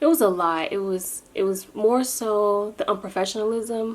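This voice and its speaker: The voice is quiet. Its pitch varies in an ordinary way. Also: woman. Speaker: vlogger. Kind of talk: casual vlog update. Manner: quiet, low volume.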